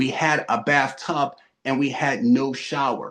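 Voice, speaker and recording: With a Philadelphia accent, a man speaks with lively intonation. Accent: Philadelphia American. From US, Philadelphia. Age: 40s. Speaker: real estate investor. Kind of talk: interview.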